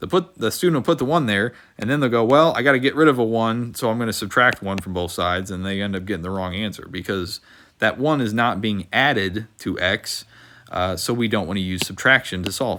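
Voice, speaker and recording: This man has a fairly low pitch and a bright, sharp tone. He talks at a fairly quick pace with lively intonation, on a very clean recording with a silent background. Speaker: math teacher. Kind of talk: tutorial. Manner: fast.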